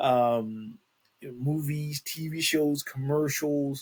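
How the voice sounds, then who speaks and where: This man speaks with a fairly high pitch, a somewhat breathy voice, and fairly even intonation. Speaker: podcast host. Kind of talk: reading news aloud with commentary. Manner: halting, stumbles over words.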